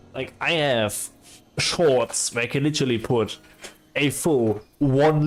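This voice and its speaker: The speaker is a man with fairly even intonation. His delivery is fairly slow. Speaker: game streamer. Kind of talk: casual livestream chat. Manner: relaxed, hesitant with fillers.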